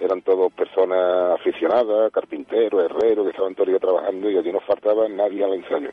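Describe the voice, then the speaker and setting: A man speaks at a very fast pace while keeping a very even loudness. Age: 50s. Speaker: band director and music teacher. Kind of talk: radio interview.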